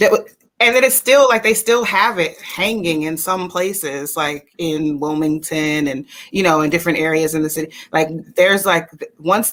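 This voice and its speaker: Lively intonation marks this woman's speech in an American accent. Her pitch is fairly low for a woman. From North Carolina. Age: 40s. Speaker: talk show host, conservatory-trained performer. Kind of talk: interview. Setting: video call, live stream. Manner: animated, fast.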